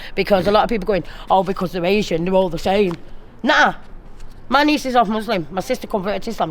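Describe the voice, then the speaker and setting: A woman talks at a very fast pace in a South Yorkshire accent. Her pitch is medium, with ordinary pitch variation. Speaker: local resident. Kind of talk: street interview.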